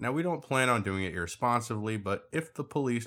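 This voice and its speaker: On a very clean recording with a silent background, a man with an ordinary speaking voice talks at a fairly quick pace with lively intonation. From Puerto Rico, raised in US West. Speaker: musician and artist. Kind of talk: casual chat.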